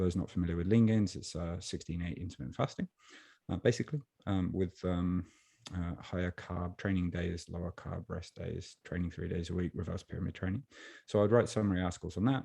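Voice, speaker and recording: Very deep, low male voice in an English accent, dark and mellow, with ordinary pitch variation, a fairly quick pace and a dry, close sound with no echo. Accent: non-Japanese accent, English. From Birmingham, England. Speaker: online strength and nutrition coach, author. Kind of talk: podcast interview.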